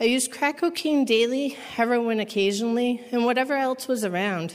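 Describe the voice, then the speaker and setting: Using a normal speaking voice, a woman with an American accent talks at a fairly quick pace with lively intonation. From Massachusetts. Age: 30s. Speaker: recovery program resident. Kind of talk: testimony.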